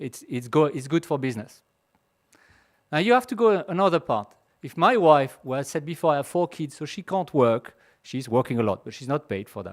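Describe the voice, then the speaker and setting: Spoken with a French accent at a fairly quick pace, the voice has big swings in loudness and very wide pitch swings, in a very clean recording with a silent background. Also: man, fairly high pitch for a man. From France. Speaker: pharmaceutical executive. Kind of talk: conference talk. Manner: halting.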